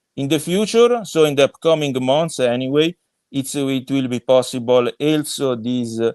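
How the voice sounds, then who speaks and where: This man has a fairly high pitch and ordinary pitch variation, talking at a moderate pace. The sound is dry and close with no echo, over a quiet background. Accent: Italian. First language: Italian. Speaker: crypto project co-founder. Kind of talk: podcast interview. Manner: halting, many fillers.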